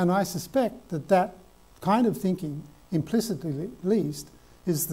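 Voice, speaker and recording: In an Australian accent, a man talks at a fairly slow pace with ordinary pitch variation. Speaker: professor. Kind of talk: lecture. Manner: halting.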